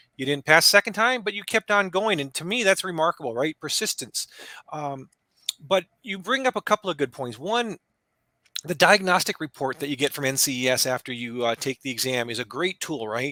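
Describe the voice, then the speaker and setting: A man with an American accent speaks fairly quickly in a bright, sharp tone at a fairly high pitch. His pitch swings very widely, and the sound is dry and close with no echo. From Southern California. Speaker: podcast host, exam prep instructor. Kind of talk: podcast interview.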